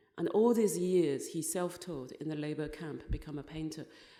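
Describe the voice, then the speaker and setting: Her voice is fairly low in pitch with a dark, mellow tone and ordinary pitch variation. The woman talks at a moderate pace amid audible room echo. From China, Zhejiang province fishing village. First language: Chinese. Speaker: writer. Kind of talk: conference talk. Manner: halting.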